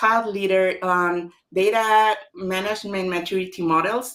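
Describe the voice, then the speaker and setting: At a fairly slow pace, a woman talks in a medium pitch with fairly even intonation. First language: Spanish. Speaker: author. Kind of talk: online book launch talk.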